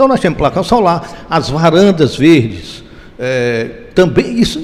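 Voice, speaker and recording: Over noticeable background noise, a man with a fairly high voice speaks with very wide pitch swings. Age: 70s. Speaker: real estate developer. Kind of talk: interview. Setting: event venue.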